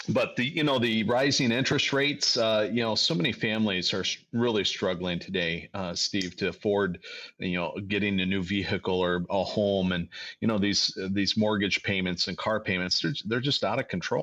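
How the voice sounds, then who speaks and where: Against a quiet background, a man with an American accent speaks in a fairly low pitch with a bright, sharp tone and ordinary pitch variation. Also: moderate pace. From Ohio, Toledo. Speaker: financial advisor. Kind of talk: radio talk show discussion. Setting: studio.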